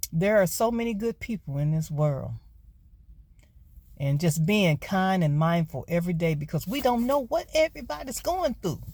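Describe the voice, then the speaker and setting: With an American accent, a woman speaks at a moderate pace in a fairly low, somewhat breathy voice with a dark, mellow tone and very wide pitch swings. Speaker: vlogger and gig worker. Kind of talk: casual vlog monologue. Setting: in a car.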